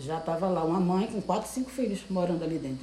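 The speaker has a Pernambuco accent, heard with audible room echo and noticeable background noise. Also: woman. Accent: Pernambuco Brazilian Portuguese. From Brazil, Recife (Pernambuco). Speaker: seamstress. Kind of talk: interview. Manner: halting.

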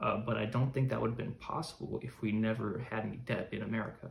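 This man's voice has vocal fry and a medium pitch. He keeps a moderate pace and fairly even intonation. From US, Chicago. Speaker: podcaster, current affairs commentator. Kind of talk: solo podcast monologue. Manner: halting, many fillers.

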